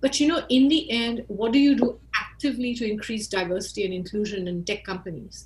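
Over noticeable background noise, a woman with an Indian accent talks at a fairly quick pace and a fairly high pitch. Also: lively intonation, hardly any pauses. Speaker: marketing expert. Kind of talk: interview.

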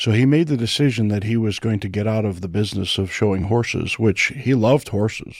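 A man talks fairly quickly with hardly any pauses, in an ordinary speaking voice. His pitch is medium with ordinary variation, and the recording is very clean over a silent background. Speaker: pastor. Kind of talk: panel discussion on church and family.

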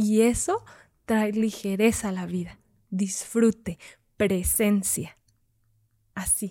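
Speaking very slowly with long, frequent pauses, a woman uses a medium pitch and a dark, mellow tone. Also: fairly even intonation. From Zacatecas, Mexico. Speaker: mandala artist and workshop facilitator. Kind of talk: casual interview.

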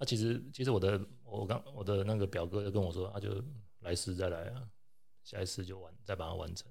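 Somewhat breathy and fairly low in pitch, a man speaks at a very fast pace with fairly even intonation amid audible room echo. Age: middle-aged. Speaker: anesthesiologist. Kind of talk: casual chat.

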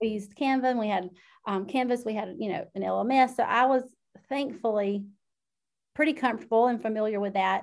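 A woman with a Southern US accent speaks at a fairly quick pace, her pitch fairly high and its variation ordinary. Long pauses come often. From South Georgia, US. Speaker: instructional technology educator. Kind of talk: casual interview chat.

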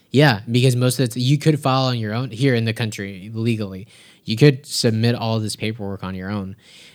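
A plain, everyday voice at a fairly quick pace, with fairly even intonation, on a very clean recording with a silent background. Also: man, medium pitch for a man. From US, raised by Mexican immigrant parents. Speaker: immigrant sharing border experience. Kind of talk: casual interview.

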